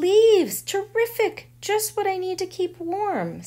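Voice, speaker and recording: This put-on character voice is squeaky and pitched extremely high. It moves at a fairly slow pace. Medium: read story. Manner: snuffling.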